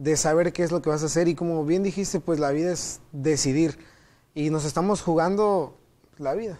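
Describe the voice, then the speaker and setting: With a Yucatecan accent, the voice moves at a moderate pace in a dark, mellow tone with fairly even intonation, on a very clean recording with a silent background. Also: man, fairly high pitch for a man. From Mexico, Mérida, Yucatán. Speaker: theology student. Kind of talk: Bible study discussion.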